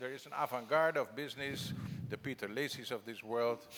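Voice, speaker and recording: A man with a plain, everyday voice talks at a fairly quick pace. His pitch varies in an ordinary way. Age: 60s. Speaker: foundation executive and former politician. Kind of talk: conference panel talk. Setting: conference stage with audience.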